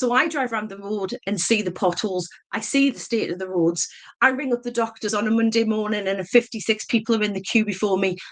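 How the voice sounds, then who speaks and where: A woman speaks in a northeast English accent. Her pitch variation is ordinary. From northeast England, mining town. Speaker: election candidate. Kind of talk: campaign speech. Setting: public meeting hustings.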